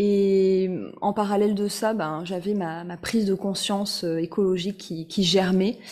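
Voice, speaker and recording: The speech moves at a fairly slow pace with a monotone, flat intonation. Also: woman, medium pitch for a woman. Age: 30s. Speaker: fashion blogger and author. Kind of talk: interview.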